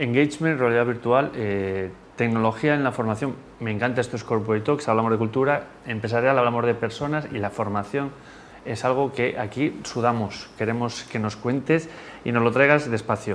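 At a moderate pace, a man talks in an unremarkable speaking voice. His pitch sits in the middle and varies in an ordinary way. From Spain. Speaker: podcast host. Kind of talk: interview.

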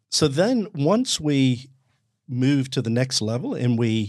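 A man with an Australian accent is heard in a very clean recording where the background is silent. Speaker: self-awareness coach. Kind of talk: casual conversation.

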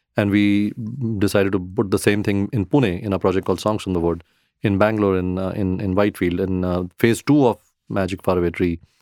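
Dry and close with no echo on a very clean recording against a silent background, a man speaks fairly quickly in a very deep, low pitch with fairly even intonation. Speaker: real estate founder. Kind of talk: interview.

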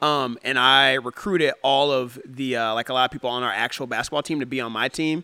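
A man with an American accent speaks at a medium pitch and a fairly quick pace, his intonation fairly even and his tone bright and sharp. The recording is very clean with a silent background, and the sound is dry and close with no echo. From US Midwest, Ohio. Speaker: run club founder. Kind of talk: casual chat.

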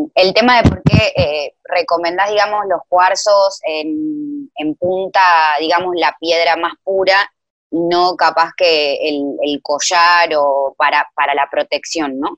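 A woman with a fairly low pitch talks at a very slow pace, her pitch variation ordinary. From Argentina. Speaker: listener. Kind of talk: casual chat. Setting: video call.

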